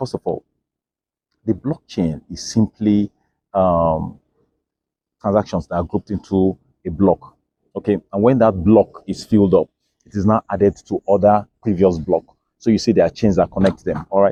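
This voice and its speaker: A man with an African accent speaks at a moderate pace, with long, frequent pauses and ordinary pitch variation. His tone is dark and mellow, and the sound is dry and close with no echo. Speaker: crypto educator. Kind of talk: educational explainer. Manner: repetitive fillers (okay, all right).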